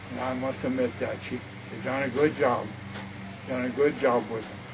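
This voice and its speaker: A man keeps a moderate pace while noticeable background noise continues around him. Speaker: grandfather. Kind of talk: interview answer.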